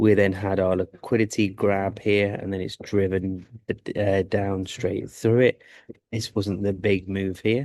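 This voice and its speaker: Quiet and fairly low-pitched, a man speaks at a fairly slow pace with monotone, flat intonation. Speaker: forex trader streaming live trades. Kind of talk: live trading commentary. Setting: live stream from a sports club. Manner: quiet, subdued; halting, stammering.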